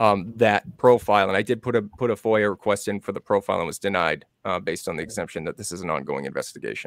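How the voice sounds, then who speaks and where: A man with an American accent and fairly low pitch talks at a very fast pace with hardly any pauses. His pitch varies in an ordinary way, and the sound is dry with no echo against a quiet background. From Massachusetts, New Bedford area; Massachusetts. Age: 40s. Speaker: true crime researcher; guest. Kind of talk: casual interview. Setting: video call. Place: home room. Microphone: studio mic.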